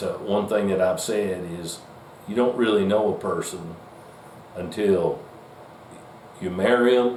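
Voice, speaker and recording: This man talks at a fairly slow pace with a Southern US accent. Noticeable background noise sits behind him. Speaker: deer hunter. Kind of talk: casual talk to camera.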